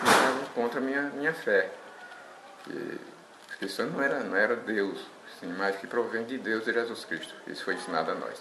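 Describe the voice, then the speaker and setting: Room echo is audible and background noise noticeable as the man talks at a moderate speed. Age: 70s. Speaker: church elder. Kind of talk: testimony. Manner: halting, with repetitions.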